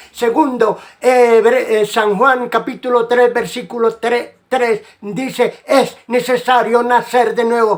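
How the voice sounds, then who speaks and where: A man speaks very slowly in an extremely high, monotone voice. His loudness stays very even. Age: 80s+. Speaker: evangelical preacher. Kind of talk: religious monologue. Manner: halting.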